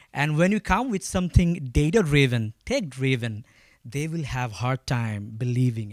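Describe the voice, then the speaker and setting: Speaking at a moderate pace, a man with a Bangladeshi accent uses lively intonation. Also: medium pitch for a man. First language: Bengali. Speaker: agritech company founder. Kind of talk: panel talk. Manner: halting.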